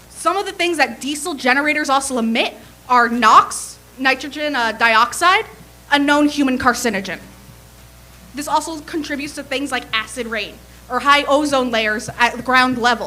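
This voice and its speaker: A high-pitched woman with an American accent projects her voice, raising it. Her pace is moderate and her pitch variation ordinary. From New Jersey (Bergen County). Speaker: public commenter. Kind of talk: public comment at a meeting. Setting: city planning commission meeting.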